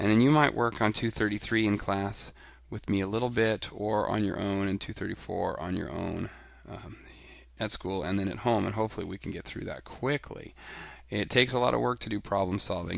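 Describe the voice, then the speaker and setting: Here a man talks at a fairly quick pace. His pitch is fairly low, with ordinary variation. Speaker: elementary school teacher. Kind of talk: tutorial. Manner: fast.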